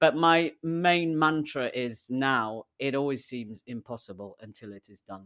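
A man with a British accent speaks at a fairly slow pace in a bright, sharp tone with ordinary pitch variation, on a very clean recording with a silent background. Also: medium pitch for a man. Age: 40s. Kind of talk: interview conversation. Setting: in-person studio recording, sharing a microphone.

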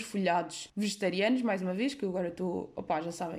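A woman speaks in an animated tone. She has a European Portuguese accent. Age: 20s. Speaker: podcaster. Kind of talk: casual monologue.

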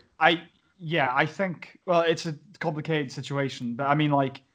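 A man with a South Wales accent at a moderate pace, quiet background. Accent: Welsh (South Wales Valleys). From Wales, Pontypridd. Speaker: podcast host. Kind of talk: casual chat. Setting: video call.

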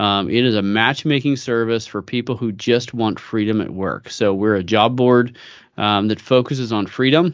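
Against a quiet background, a man with a General American accent speaks in a normal speaking voice at a moderate pace and medium pitch, with ordinary pitch variation. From US West Coast, San Francisco Bay Area. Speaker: company founder. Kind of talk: interview.

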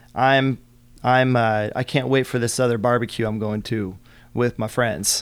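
At a moderate pace and with fairly even intonation, a man talks in a plain, everyday voice on a very clean recording with a silent background. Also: medium pitch for a man. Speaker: guest speaker on career mindset. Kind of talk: casual interview chat.

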